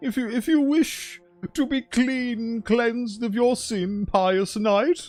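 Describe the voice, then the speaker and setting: A man uses a put-on character voice at an extremely high pitch and a fairly slow pace. Faint music sits in the background. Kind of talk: archaic, formal. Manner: pious, lofty.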